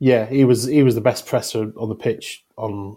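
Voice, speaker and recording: A man with a South Yorkshire accent speaks at a moderate pace and medium pitch, his tone dark and mellow and his intonation monotone and flat. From South Yorkshire, England. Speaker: football journalist. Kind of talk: casual chat.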